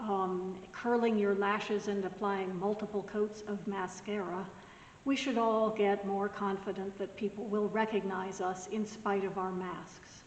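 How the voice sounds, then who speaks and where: Over noticeable background noise, a woman talks at a fairly slow pace with monotone, flat intonation. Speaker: pastor. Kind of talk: recorded devotional message.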